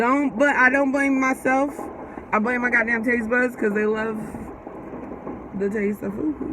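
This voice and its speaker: A woman with a high-pitched voice speaks in an animated tone at a fairly slow pace, with ordinary pitch variation, long and frequent pauses, and noticeable background noise. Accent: Bay Area. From US West Coast, San Francisco Bay Area (Fremont, East Bay). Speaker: podcast co-host. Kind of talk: casual chat.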